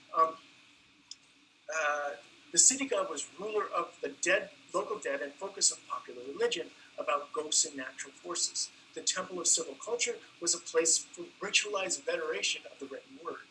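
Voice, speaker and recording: A man's loudness swings widely as he talks at a fairly quick pace, with noticeable background noise throughout. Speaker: anthropology professor. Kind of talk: academic lecture. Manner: halting.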